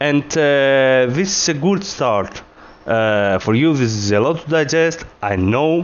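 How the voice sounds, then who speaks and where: In a non-native accent, a man talks at a medium pitch and a fairly slow pace with lively intonation. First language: not English. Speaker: gaming video creator. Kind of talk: tutorial. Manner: hesitant, many filler words.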